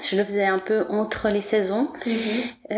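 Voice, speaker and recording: A woman with a fairly high pitch, fairly even intonation and a fairly slow pace, amid noticeable background noise. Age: 40s. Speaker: massage therapist. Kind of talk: interview.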